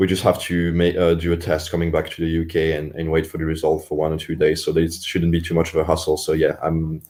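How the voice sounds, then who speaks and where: A man speaks very fast in a very deep, low voice with a Swiss French accent, his delivery monotone and flat with hardly any pauses. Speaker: Olympic rower. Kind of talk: interview. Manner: hesitant, many repetitions and fillers.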